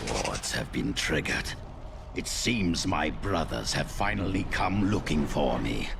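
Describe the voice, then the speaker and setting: A man uses a put-on character voice pitched very deep and low. Loud background noise runs beneath it. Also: fairly slow pace. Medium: video game. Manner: grandiose, menacing.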